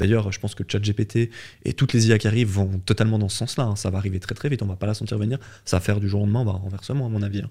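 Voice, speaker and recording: Talking at a very fast pace, a man with a somewhat breathy, dark, mellow tone and fairly low pitch keeps his intonation fairly even in a very clean recording with a silent background. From French-speaking Switzerland. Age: 30s. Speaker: fitness entrepreneur. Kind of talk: interview.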